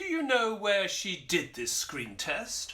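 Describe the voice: A man puts on a character voice with a high pitch and a bright, sharp tone. He speaks slowly, with very wide pitch swings.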